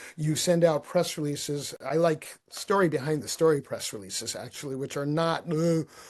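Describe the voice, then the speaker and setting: A man with a plain, everyday voice, fairly high pitch and ordinary pitch variation, at a moderate pace with hardly any pauses. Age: 60s. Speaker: marketing strategist and author. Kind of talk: podcast interview. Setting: podcast.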